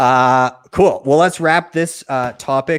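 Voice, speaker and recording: Speaking at a very slow pace, a man with a Canadian accent has a medium pitch and very wide pitch swings. The recording is very clean, with a silent background. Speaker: podcast host. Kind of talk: live stream panel hosting. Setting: live video stream.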